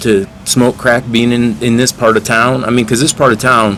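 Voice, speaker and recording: A man's medium-pitched voice is heard against noticeable background noise. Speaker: interviewer, channel host. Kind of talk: street interview questions. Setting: outdoors.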